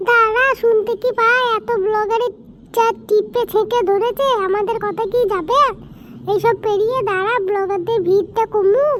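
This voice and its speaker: A woman puts on a cartoonish character voice, pitched extremely high and delivered at a moderate pace. Clear background noise runs underneath. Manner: excitable, informal.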